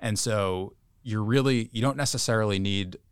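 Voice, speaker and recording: In a very clean recording with a silent background, a man of fairly low pitch speaks at a moderate pace with ordinary pitch variation. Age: 30s. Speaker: bank equity analyst. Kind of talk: professional podcast discussion. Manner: halting, many fillers and repeated words.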